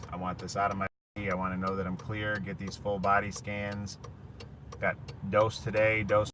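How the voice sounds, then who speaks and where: A man talks at a fairly slow pace in a fairly low, flat, monotone voice. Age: 30s. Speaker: cancer patient vlogger. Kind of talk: casual vlog monologue. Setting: in a car. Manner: loud.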